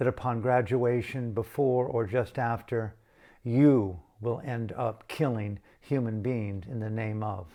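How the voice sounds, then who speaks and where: A man with an American accent has a plain, everyday voice. He speaks at a medium pitch with fairly even intonation. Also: fairly slow pace. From United States. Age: 60s. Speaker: meditation teacher. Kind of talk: reflective spoken talk. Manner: contemplative, pausing.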